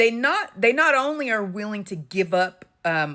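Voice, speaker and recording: The tone is bright and sharp, with very wide pitch swings. The pace is fairly slow. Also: woman. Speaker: intuitive commentator, channel owner. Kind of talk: monologue to camera. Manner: halting, many fillers and restarts.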